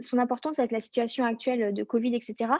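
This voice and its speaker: Recorded with a dry, close sound and no echo, a woman speaks at a fairly quick pace in a high voice with a dark, mellow tone. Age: 20s. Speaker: network marketing business partner. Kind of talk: sales presentation to camera.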